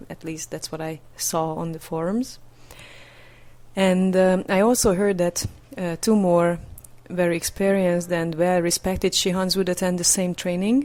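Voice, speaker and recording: A woman with a Hungarian accent talks at a moderate pace in a dark, mellow tone, her fairly low pitch staying fairly even while her loudness swings widely. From Hungary. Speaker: podcast interviewer. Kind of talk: podcast intro and interview. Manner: hesitant, many fillers.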